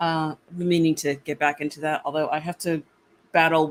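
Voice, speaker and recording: A woman's very deep, low voice at a fairly quick pace. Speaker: content creator. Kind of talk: casual interview chat. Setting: live stream.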